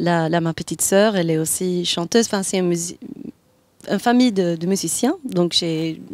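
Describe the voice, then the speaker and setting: With a Swedish accent, a woman speaks at a moderate pace in a fairly low voice with ordinary pitch variation. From Sweden. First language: Swedish (speaking French). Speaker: jazz singer. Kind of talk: interview. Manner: halting.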